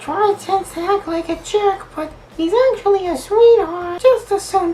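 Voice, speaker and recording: Putting on a squeaky character voice at an extremely high pitch, a man talks at a moderate pace over clear background noise. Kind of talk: comic falsetto put-on voice. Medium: solo performance. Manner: sweet, teasing, flirty.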